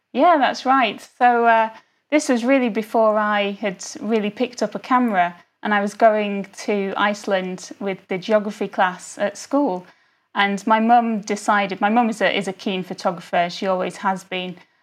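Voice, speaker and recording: A woman speaks in a medium pitch with ordinary pitch variation. She has a plain, everyday voice. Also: moderate pace, quiet background. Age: young. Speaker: lawyer and amateur travel photographer. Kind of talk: interview.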